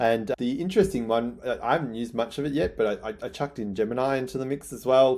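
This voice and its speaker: A man with an Australian accent at a very fast pace, medium pitch and ordinary pitch variation, with hardly any pauses. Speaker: newsletter writer. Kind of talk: casual vlog talk. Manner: excitable.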